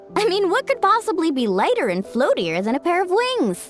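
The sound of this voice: Faint music plays behind a woman doing a put-on character voice. Her pitch is extremely high and swings very widely. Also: moderate pace.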